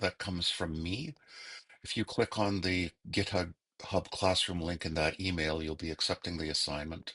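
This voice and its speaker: A man with a very deep, low pitch speaks in a bright, sharp tone, recorded dry and close with no echo. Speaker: instructor. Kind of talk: tutorial. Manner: slow.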